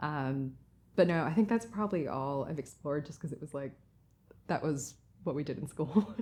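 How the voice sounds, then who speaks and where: The recording is very clean, with a silent background. A woman with a very deep, low voice and a slight American accent talks at a fairly quick pace. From US, Massachusetts. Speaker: artist. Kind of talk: interview. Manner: casual.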